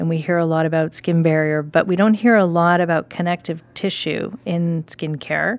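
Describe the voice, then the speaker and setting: A woman speaks in a normal speaking voice with a fairly low pitch. Her moderate pace comes through on a very clean recording with a silent background. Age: 40s. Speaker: podcast host and company executive. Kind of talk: interview.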